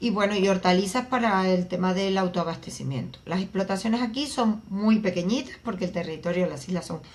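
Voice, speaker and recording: Speaking at a moderate pace, a woman with a medium-pitched, somewhat breathy voice uses ordinary pitch variation. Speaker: agricultural researcher. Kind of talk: interview.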